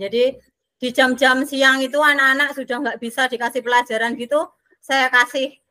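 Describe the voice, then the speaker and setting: A raised, projected voice with a bright, sharp tone. The intonation stays fairly even at a fairly quick pace, with a dry, close sound and no echo. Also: woman. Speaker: special education teacher. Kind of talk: online training discussion.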